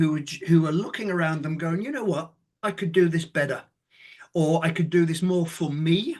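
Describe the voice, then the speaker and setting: With a British accent, a man talks at a moderate pace, his pitch high and its variation ordinary. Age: 60s. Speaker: former law firm managing partner and author. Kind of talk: casual podcast interview. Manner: animated.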